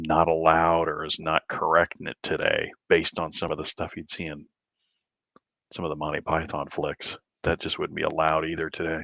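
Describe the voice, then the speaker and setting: A quiet man with an American accent, very deep and low in pitch yet bright and sharp in tone, monotone and flat, at a moderate pace, dry and close with no echo. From Southern Illinois. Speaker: livestream host, amateur astronomer. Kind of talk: casual chat. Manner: hushed, quiet.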